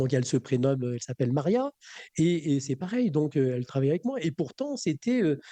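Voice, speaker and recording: A man's fairly high voice with a dark, mellow tone, lively intonation and a fairly quick pace, in a dry, close sound with no echo. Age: 60s. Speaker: magnetic healer and trainer. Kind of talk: radio interview. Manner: halting, many fillers and repetitions.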